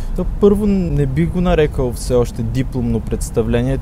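A man keeps a moderate pace while his voice carries audible room echo and noticeable background noise surrounds him. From Bulgaria, Ruse. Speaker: theatre directing student. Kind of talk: radio interview.

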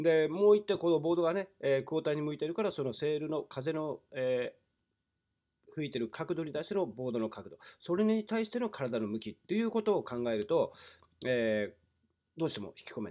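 This man speaks at a fairly quick pace, his fairly high pitch swinging very widely. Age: 50s. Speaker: windsurfing instructor. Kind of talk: tutorial. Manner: explanatory, with many fillers.

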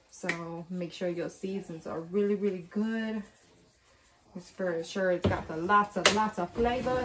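A woman's voice amid loud background noise. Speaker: home cook vlogger. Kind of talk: casual cooking tutorial. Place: kitchen. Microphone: camera far.

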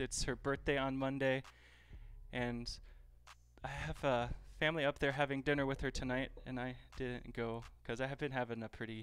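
Intonation here is monotone and flat. The man keeps a moderate pace. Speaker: cooking livestreamer. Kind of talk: casual livestream chat. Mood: relaxed, a bit open. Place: kitchen. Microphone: headset.

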